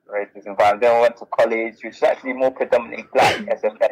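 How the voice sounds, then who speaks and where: In a dry, close sound with no echo, a man speaks in a South London accent. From South London (Bermondsey). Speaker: author and business founder. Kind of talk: interview.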